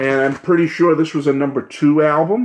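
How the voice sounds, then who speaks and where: A man is speaking. His pace is moderate. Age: 60s. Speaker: music YouTuber. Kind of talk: casual vlog reminiscence. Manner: animated.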